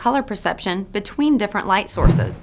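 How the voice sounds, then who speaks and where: Lively intonation from a female speaker. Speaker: news presenter. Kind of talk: newscast read. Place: studio.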